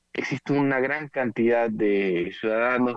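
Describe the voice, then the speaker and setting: A man's voice with ordinary pitch variation, in a dry sound with no echo against a quiet background. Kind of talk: interview answer. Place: office. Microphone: video call.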